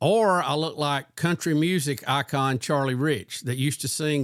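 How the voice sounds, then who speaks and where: Speaking in a Southern US accent, a man with a fairly high voice keeps a moderate pace and ordinary pitch variation. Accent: Southern American. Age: 60s. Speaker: podcast host. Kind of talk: casual chat. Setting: video call.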